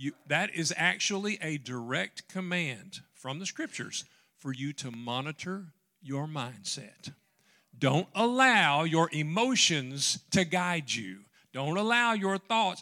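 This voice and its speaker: A man with a Southern US accent speaks very slowly at a fairly high pitch, his tone bright and sharp with very wide pitch swings. The recording is very clean with a silent background. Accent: Southern American. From US South, western Tennessee. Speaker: pastor. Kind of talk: sermon.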